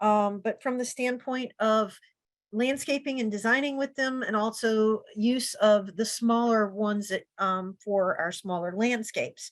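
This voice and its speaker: This woman speaks with an American accent. Her pitch is fairly high and her intonation fairly even. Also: fairly slow pace. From Virginia, US (Richmond). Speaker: horticulture researcher and speaker. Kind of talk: webinar lecture. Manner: hesitant fillers (um, uh).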